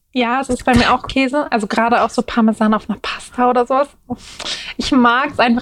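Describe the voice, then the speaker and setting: Against noticeable background noise, a woman with a high-pitched voice talks very fast with fairly even intonation. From Berlin, Germany. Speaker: plus-size model. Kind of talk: casual interview chat.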